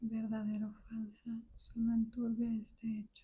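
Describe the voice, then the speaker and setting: Soft-spoken, this voice moves along at a fairly slow pace. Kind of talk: book reading.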